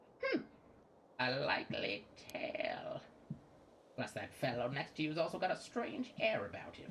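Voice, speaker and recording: A put-on character voice at a middle pitch and a moderate pace. Long pauses come often, over clear background noise. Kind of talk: archaic, old-fashioned. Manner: suspicious.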